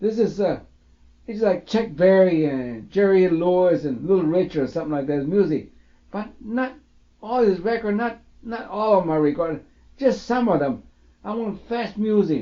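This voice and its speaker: With an American accent, a man speaks at a moderate pace in a high voice, his intonation lively. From Mexican-born, raised in the US. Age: 60s. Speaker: man recording his life story. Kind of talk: personal reminiscence monologue. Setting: home tape recording. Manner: halting, many fillers; casual, rambling.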